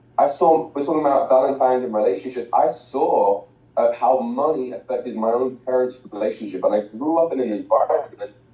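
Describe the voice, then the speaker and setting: A man speaks at a fairly quick pace with hardly any pauses. Noticeable background noise sits behind him. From England, outside London. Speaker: financial educator, former soccer coach. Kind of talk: motivational talk. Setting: video call.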